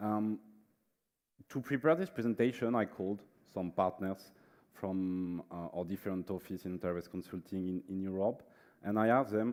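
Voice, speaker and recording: A man with a French accent speaks at a fairly low pitch with fairly even intonation, in a very clean recording with a silent background. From France. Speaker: management consultant. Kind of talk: conference presentation. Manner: hesitant, many fillers.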